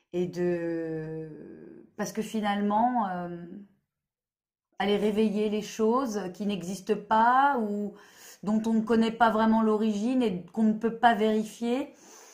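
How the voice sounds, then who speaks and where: A woman with a fairly high pitch speaks at a very slow pace, with audible echo from the room. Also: ordinary pitch variation. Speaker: therapist. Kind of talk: monologue video explanation. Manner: hesitant, many fillers.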